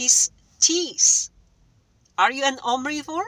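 A woman speaks in a raised, projected voice with a bright, sharp tone, and the sound is dry with no echo. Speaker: vlogger. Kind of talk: casual vlog chat. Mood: indignant, persuasive. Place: car. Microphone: phone near.

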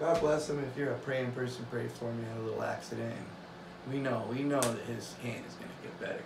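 A man at a moderate pace over noticeable background noise. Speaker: hobby woodworker vlogger. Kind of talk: casual vlog chat. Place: workshop.

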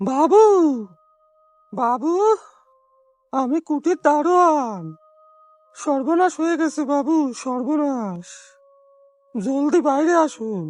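This is a put-on character voice that sounds shaky. It moves at a very slow pace. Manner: panicked, urgent.

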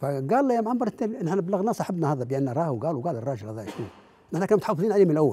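A man speaks high for his voice, his pitch swinging very widely. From Libya. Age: 80s+. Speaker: veteran political activist; interview guest, witness. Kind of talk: interview testimony. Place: studio. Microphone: lapel.

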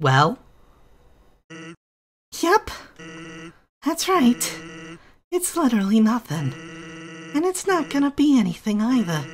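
In a very clean recording with a silent background, a put-on character voice at fairly high pitch swings very widely in pitch, going at a fairly slow pace with long, frequent pauses. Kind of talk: deadpan comic taunting. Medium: virtual streamer. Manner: drawling, smug, laid-back.

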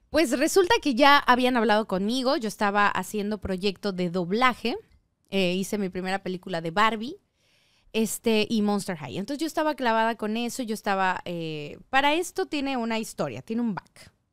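Heard on a very clean recording with a silent background, a woman with a fairly high pitch speaks in an animated tone with lively intonation. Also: moderate pace. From Yucatán, Mexico (Mérida). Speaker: singer, actress and voice actress. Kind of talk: casual chat.

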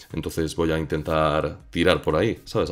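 A man speaks with a very deep, low pitch. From Spain. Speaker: YouTube content creator. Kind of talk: casual interview chat.

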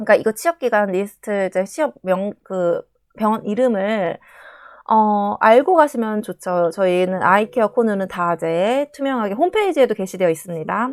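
In a very clean recording with a silent background and a dry, close sound with no echo, a woman speaks at a moderate pace with lively intonation. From South Korea. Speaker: nurse. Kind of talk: casual vlog talk.

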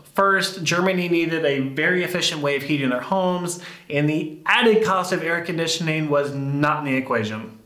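Talking at a fairly quick pace, a man with an American accent uses ordinary pitch variation. Audible room echo surrounds him over a quiet background. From United States. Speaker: YouTuber. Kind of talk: scripted narration. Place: home room.

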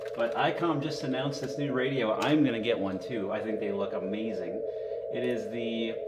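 Against loud background noise, a man speaks at a moderate pace. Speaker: amateur radio hobbyist streamer. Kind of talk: casual live stream chat. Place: home room.

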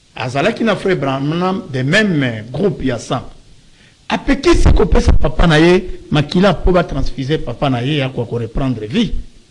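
Long, frequent pauses break up fairly slow speech, and background noise is noticeable. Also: man, fairly high pitch for a man. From DR Congo. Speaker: pastor; talk show guest, lawyer. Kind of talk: talk show interview. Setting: studio. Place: studio. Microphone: studio mic.

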